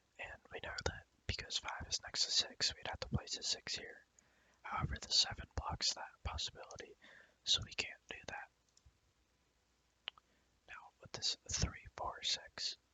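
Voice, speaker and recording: Someone whispers at a fairly slow pace, with long, frequent pauses. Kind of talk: ASMR soft-spoken puzzle walkthrough. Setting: quiet home recording. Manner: soft-spoken, whispered, slow, relaxing.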